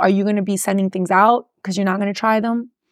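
Speaking at a very fast pace, a woman has a Miami accent and a medium pitch. The recording is very clean, with a silent background. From Miami, Florida. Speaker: personal injury lawyer and radio host. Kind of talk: casual interview chat about business. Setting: studio.

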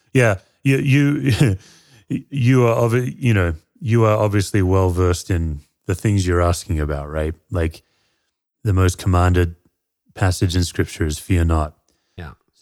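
Speaking fairly slowly with long, frequent pauses, a man uses a very deep, low pitch and lively intonation. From Perth, Western Australia. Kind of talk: casual interview conversation.

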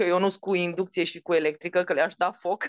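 The woman has a fairly low voice and an animated tone at a fairly quick pace. The sound is dry and close, with no echo. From Romania, Maramureș (Baia Mare). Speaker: chef and TV cooking show judge. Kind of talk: casual interview.

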